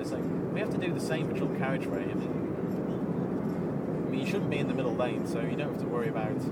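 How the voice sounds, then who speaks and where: Male speech with audible room echo and noticeable background noise. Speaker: vlogger recording a driving voice memo. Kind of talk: casual monologue while driving. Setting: in a car. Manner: rambling with many fillers.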